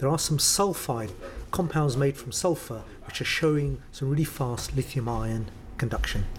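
With a London accent, a man speaks at a moderate pace with a fairly high pitch and ordinary pitch variation over noticeable background noise. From North London. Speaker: professor of materials chemistry. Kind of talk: interview.

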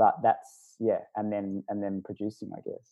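An Australian accent comes through in the speech. It moves along at a moderate pace. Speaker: video producer and voice artist. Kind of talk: casual chat.

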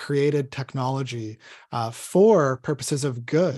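This man has an ordinary speaking voice with a fairly high pitch. He speaks at a fairly slow pace. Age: 30s. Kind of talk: podcast interview.

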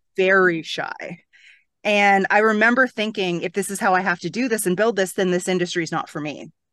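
With a Canadian accent, a woman has a plain, everyday voice at medium pitch, talking at a fairly quick pace against a quiet background. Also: fairly even intonation. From Toronto, Canada. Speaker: real estate coach. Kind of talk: interview.

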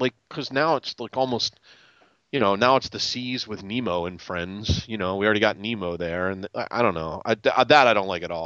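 Talking at a fairly quick pace, a man with an unremarkable speaking voice has a fairly low pitch and ordinary pitch variation. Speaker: podcast panelist. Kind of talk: casual chat.

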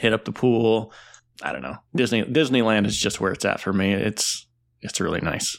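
On a very clean recording with a silent background, a man speaks at a moderate pace with lively intonation and vocal fry. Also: fairly low pitch for a man. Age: 30s. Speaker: podcast co-host and travel advisor. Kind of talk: casual chat.

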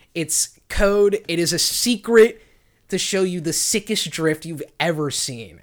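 In a very clean recording with a silent background, a man with a high pitch and ordinary pitch variation speaks at a fairly slow pace. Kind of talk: casual comedy podcast chat. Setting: recording at a laptop with microphone.

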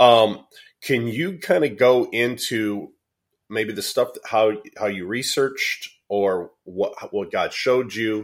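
Someone with an American accent talks at a very slow pace. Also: man, medium pitch for a man, ordinary pitch variation, very clean recording, silent background. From US Midwest. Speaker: podcast co-host. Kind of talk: casual interview conversation.

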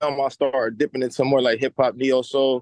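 A man speaks at a moderate pace and medium pitch, with an American accent and an unremarkable speaking voice. The sound is dry and close, with no echo. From Cincinnati, US Midwest. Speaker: rapper. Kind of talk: casual interview.

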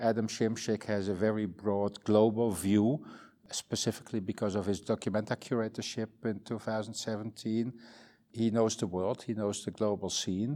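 A man with a Dutch accent speaks at a fairly low pitch in a dark, mellow tone. His intonation is monotone and flat. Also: moderate pace, very clean recording, silent background. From northern Netherlands countryside. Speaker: museum director. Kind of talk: interview. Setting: museum. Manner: halting.

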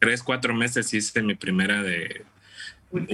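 A man's fairly low voice with a bright, sharp tone at a fairly slow pace. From Mexico, Tampico, Tamaulipas. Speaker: amateur runner. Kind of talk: casual interview. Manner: halting.

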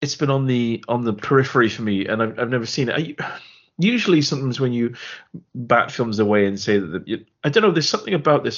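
A man with an English accent at a medium pitch, very fast pace and lively intonation. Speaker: film podcast co-host. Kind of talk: casual chat.

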